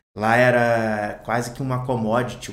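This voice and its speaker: A man speaks at a medium pitch in a flat monotone, with audible echo from the room. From Brazil, Volta Redonda (Rio de Janeiro state). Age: 30s. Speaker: bar owner. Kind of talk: casual chat.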